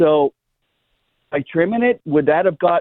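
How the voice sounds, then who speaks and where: He is a man with a fairly high pitch and a plain, everyday voice. His intonation is lively, and his pace is fairly quick. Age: 60s. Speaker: caller, landscaper. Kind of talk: radio call-in question. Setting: phone call. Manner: casual, talkative.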